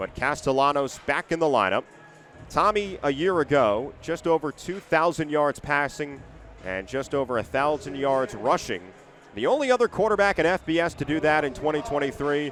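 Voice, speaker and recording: Noticeable background noise sits behind a man's fairly high voice. He talks at a moderate pace with lively intonation. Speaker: sports play-by-play announcer. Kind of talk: radio football play-by-play.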